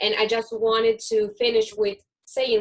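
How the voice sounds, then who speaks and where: This woman's voice sits fairly high in pitch, with monotone, flat intonation. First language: Spanish. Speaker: event host. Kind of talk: hosted online discussion.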